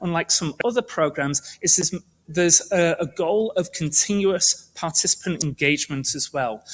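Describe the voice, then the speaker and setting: In a British accent, the speaker talks at a moderate pace with lively intonation. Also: man. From United Kingdom. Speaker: medical researcher. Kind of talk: presentation talk.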